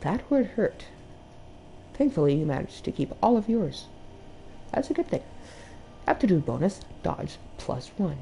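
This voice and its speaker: Woman's medium-pitched voice with a dark, mellow tone and vocal fry, very wide pitch swings, a moderate pace, and long, frequent pauses. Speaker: video game streamer. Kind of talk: gameplay stream, reading game text aloud with comments.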